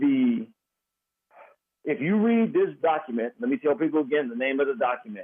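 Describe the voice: His pace is fairly quick. The man's intonation rises and falls in a lively way.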